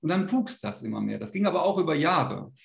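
There is vocal fry in this man's voice. He speaks with lively intonation. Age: 40s. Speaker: men's coach. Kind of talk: interview. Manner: halting.

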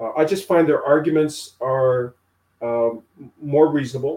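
A man with a plain, everyday voice speaks at a moderate pace with fairly even intonation. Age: 50s. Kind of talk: interview conversation.

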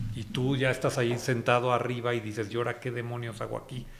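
A man talks at a moderate pace in a medium pitch, sounding somewhat breathy. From Mexico, Guanajuato (Irapuato). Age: 50s. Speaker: media executive. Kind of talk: interview. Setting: at his home.

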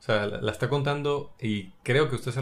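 With lively intonation, the man speaks in a somewhat breathy voice. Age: 30s. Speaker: film podcast co-host. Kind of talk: casual chat.

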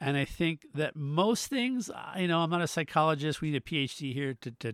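This is a man with an ordinary speaking voice, talking at a moderate pace with lively intonation. The sound is dry and close, with no echo. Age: 50s. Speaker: podcast co-host. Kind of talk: casual chat.

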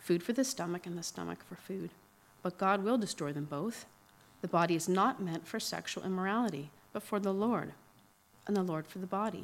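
In an ordinary speaking voice, a woman talks fairly quickly at medium pitch with ordinary pitch variation, in a very clean recording with a silent background. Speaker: scripture reader. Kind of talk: reading aloud. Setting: church.

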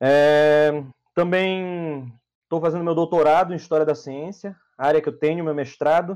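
A man speaks at a moderate pace in a normal speaking voice. His pitch is fairly high, with fairly even intonation. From Brazil, Belém do Pará. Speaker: psychologist. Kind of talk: casual interview on livestream.

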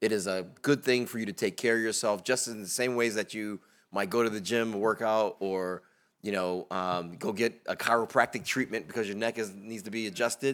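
A man with an American accent and a normal speaking voice talks at a fairly low pitch and a fairly quick pace with fairly even intonation, in a very clean recording with a silent background. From Bridgeport, Connecticut. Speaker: venture investor, panelist. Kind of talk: panel discussion.

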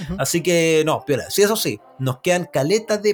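Amid noticeable background noise, a man with a Chilean accent talks at a moderate pace in a high voice with ordinary pitch variation. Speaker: podcast host. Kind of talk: casual chat. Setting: remote recording from separate cities.

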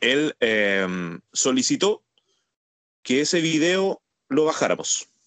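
A man with a fairly high pitch speaks in a Chilean accent, his pitch swinging very widely. The sound is dry and close, with no echo. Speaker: podcast co-host, former wrestler. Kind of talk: casual chat.

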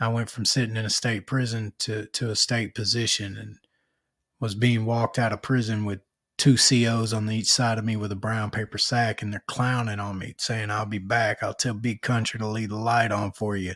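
A man with an Arkansas accent at a medium pitch, monotone and flat at a moderate pace, dry and close with no echo on a very clean recording with a silent background. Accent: Southern US (Arkansas). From Arkansas, North Little Rock. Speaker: podcast host, author and public speaker. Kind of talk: casual interview.

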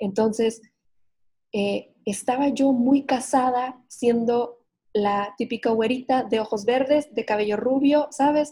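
Her tone dark and mellow, a woman speaks very slowly at a high pitch with fairly even intonation. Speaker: psychotherapist and podcaster. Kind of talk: casual interview chat. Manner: hesitant with many fillers.

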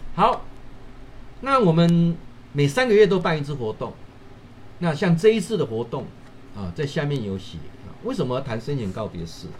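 A somewhat breathy man speaks at a moderate pace and fairly high pitch, with very wide pitch swings, big swings in loudness, and long, frequent pauses. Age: 50s. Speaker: professor and livestream host. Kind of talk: livestream talk. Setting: livestream. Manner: animated.

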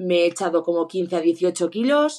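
With a normal speaking voice, a woman talks at a fairly low pitch with ordinary pitch variation. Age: 30s. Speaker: ski instructor and runner sending a listener question. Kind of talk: recorded voice question.

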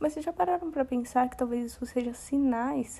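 The voice belongs to a woman, high in pitch with a dark, mellow tone. Her intonation is fairly even. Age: 20s. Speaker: podcast host. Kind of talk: casual monologue.

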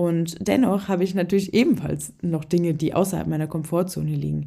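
A woman's fairly low-pitched voice with vocal fry at a fairly quick pace. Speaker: podcast host and fitness and nutrition coach. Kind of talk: solo podcast monologue with coaching advice. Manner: casual, with frequent filler sounds.

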